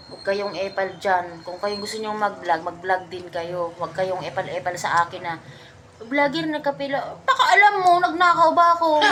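A woman speaks in an animated tone with very wide pitch swings. Noticeable background noise runs underneath. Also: medium pitch for a woman, moderate pace, big swings in loudness. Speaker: vlogger. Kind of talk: casual chat over drinks.

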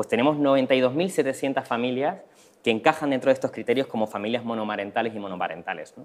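A man talks at a fairly quick pace, his loudness swinging widely while his pitch varies in an ordinary way. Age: young. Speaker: social entrepreneur; presenter. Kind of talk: conference presentation. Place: hall. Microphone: lapel.

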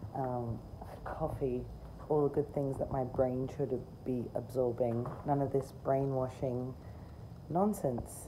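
A woman speaks at a very slow pace, her pitch very deep and low and her tone dark and mellow, with fairly even intonation. Long, frequent pauses break up her speech over noticeable background noise. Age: 40s. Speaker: video creator. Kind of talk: rant. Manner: sarcastic, emphatic. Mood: opinionated, mildly indignant. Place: garden. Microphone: phone near.

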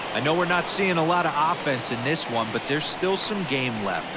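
A man with a fairly high-pitched voice speaks while background noise is clearly heard. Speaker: baseball color analyst. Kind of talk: video game baseball color commentary. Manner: conversational, analytical, former-player tone.

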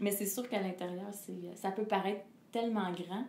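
A woman's voice comes through audible room echo with light background noise. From Quebec. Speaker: singer; interviewee. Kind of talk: interview. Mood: calm, reflective. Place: home room.

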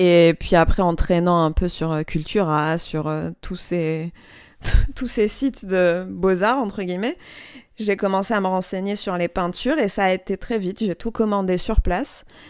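A woman speaks at a fairly slow pace in an unremarkable speaking voice. Her pitch is medium with ordinary variation. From Algeria, Algiers. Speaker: designer and brand founder. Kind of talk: interview. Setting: home workshop.

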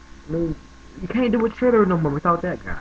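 A man with a high pitch talks at a fairly quick pace. His pitch swings very widely over light background noise. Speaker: vlogger. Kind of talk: casual talk to camera. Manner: casual, conversational. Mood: tribute, half joking, smiling. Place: home room. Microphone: webcam.

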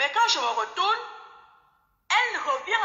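A woman at a moderate pace with very wide pitch swings, audible room echo and a quiet background. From Cameroon. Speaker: caller. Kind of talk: testimony. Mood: reflective, sometimes amused. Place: home room. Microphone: phone near.

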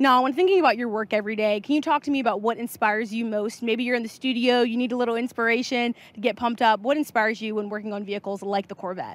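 A woman speaks at a very fast pace with hardly any pauses, her pitch fairly high. Her pitch varies in an ordinary way, and the sound is dry with no echo. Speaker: livestream presenter. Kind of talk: event interviews. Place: hall. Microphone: handheld.

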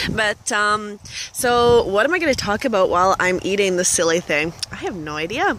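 Against light background noise, a woman of medium pitch with a Western Canadian accent speaks at a moderate pace in a dry sound with no echo. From Canada, northern British Columbia. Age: 20s. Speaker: vlogger. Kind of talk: casual vlog while eating. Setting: outdoors by a lake. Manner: halting, many fillers. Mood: relaxed, cheerful. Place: waterside. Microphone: phone near.

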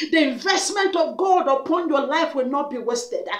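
Loud and intense, a woman with an extremely high pitch speaks with lively intonation amid audible room echo. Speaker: prayer minister. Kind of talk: fervent prayer, commanding declarations and spiritual warfare. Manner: forceful, loud, rhythmic repetition, commanding; urgent, intense, declarative. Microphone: webcam.

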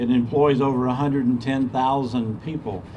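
This man has an American accent and a fairly high pitch, with light background noise behind him. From US South, Georgia. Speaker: state tourism official. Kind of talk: ceremony speech. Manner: halting, repeats words. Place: street. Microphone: podium.

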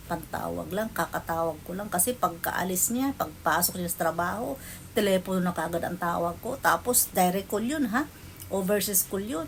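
With vocal fry in her medium-pitched voice, a woman talks at a moderate pace, her pitch varying in an ordinary way. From Philippines. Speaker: vlogger. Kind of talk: personal storytelling.

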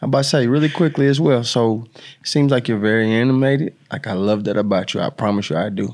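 The speaker talks at a fairly quick pace with ordinary pitch variation against a quiet background. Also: man. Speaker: podcast co-host, former track athlete; podcast co-host. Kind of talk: casual interview. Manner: playful, energetic. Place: studio. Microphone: studio mic.

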